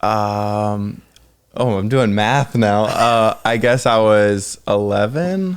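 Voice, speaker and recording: A man speaks at a very slow pace on a very clean recording with a silent background. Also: ordinary pitch variation, very even loudness. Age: 20s. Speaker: fishing and hunting YouTuber. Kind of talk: interview. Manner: high energy; animated.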